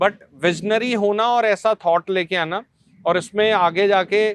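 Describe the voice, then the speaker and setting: A man with a Punjabi accent speaks with fairly even intonation. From Punjab, India (Malot). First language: Punjabi (speaking Hindi). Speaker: journalist and media founder. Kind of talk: podcast interview. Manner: code-switching Hindi and English.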